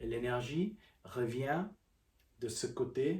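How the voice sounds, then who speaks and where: With a calm tone and lively intonation, a man speaks at a medium pitch in a somewhat breathy voice. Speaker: qigong teacher. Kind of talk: guided practice instruction. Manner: halting.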